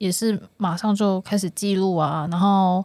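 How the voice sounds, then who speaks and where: A woman with a normal speaking voice talks at a medium pitch and a fairly slow pace, her intonation fairly even, on a very clean recording with a silent background. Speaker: editor and trip organizer. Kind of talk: casual chat.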